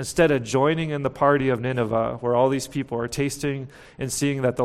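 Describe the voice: The reading is plain reading aloud, its intonation fairly even.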